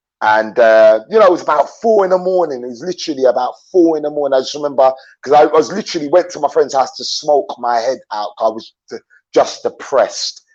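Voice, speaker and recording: With an English accent, a man speaks at a very fast pace. His pitch is fairly high and his intonation lively. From London, England (born in Jamaica). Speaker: YouTuber, traveler. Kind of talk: interview on live stream. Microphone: dodgy internet connection.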